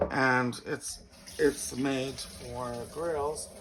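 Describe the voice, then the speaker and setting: The speaker goes at a very slow pace. Background noise is noticeable. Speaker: home cooking video host. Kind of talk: cooking tutorial.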